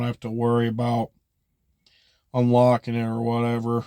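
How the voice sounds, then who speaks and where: Intonation stays monotone and flat as the man talks. The background is silent on this very clean recording. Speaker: vlogger. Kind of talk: casual monologue. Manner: rambling with many fillers.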